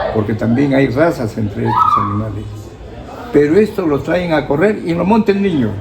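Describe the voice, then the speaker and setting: A man speaks at a moderate pace with a fairly high pitch and very wide pitch swings. Crowd noise fills the background, and the room echo is audible. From Peru, Otuzco (La Libertad highlands). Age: 80s+. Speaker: local historian. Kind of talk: interview.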